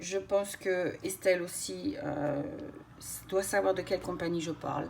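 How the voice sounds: Over light background noise, a woman puts on a hoarse character voice at a fairly low pitch, speaking at a moderate pace with ordinary pitch variation.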